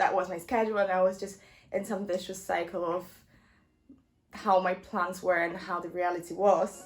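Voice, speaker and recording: A monotone, flat delivery at a moderate pace. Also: woman. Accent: non-native. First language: not English. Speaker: university student vlogger. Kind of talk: casual vlog advice. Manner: hesitant, many ums; nervous laugh.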